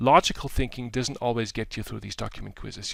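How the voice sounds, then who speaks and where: The recording is very clean, with a silent background. A man with an unremarkable speaking voice talks at a medium pitch with ordinary pitch variation. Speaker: professor. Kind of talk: tutorial.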